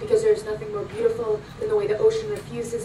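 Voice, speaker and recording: Noticeable background noise surrounds a woman who talks very fast. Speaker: spoken word poet. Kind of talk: spoken word poetry performance. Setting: live performance at a club.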